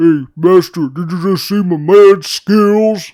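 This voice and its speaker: A man speaks in a put-on character voice, high-pitched and at a fairly slow pace. The recording is very clean, with a silent background. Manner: cocky, boastful.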